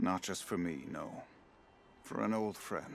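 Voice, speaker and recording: A man's put-on character voice, raspy and very deep in pitch, at a moderate pace over clear background noise. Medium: video game. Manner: measured, reflective, dignified.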